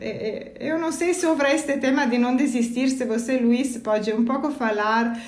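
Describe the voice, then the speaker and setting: A woman with an Italian accent talks at a moderate pace in a high pitch, with hardly any pauses, audible room echo and noticeable background noise. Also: ordinary pitch variation. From Italy. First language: Italian (speaking Portuguese). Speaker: energy company employee. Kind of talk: casual chat. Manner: halting.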